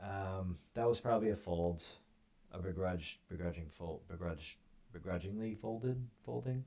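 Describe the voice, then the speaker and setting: A soft-spoken man talks at a very slow pace in a dark, mellow tone. His intonation is lively. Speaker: poker streamer. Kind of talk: live gameplay commentary. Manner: quiet, soft-spoken.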